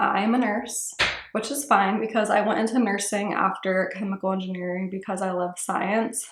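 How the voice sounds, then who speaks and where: Her delivery is flat and monotone, at a medium pitch and a moderate pace, in an American accent. Room echo can be heard around her voice. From Ohio, US Midwest. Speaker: beauty vlogger. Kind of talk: casual chat. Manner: casual, filler-heavy.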